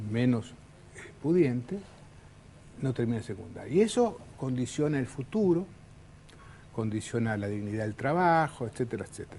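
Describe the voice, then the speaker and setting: With a Uruguayan accent, a man speaks at a moderate pace and a medium pitch. His intonation is lively. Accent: Uruguayan Spanish (Rioplatense). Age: 60s. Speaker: politician. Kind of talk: political interview.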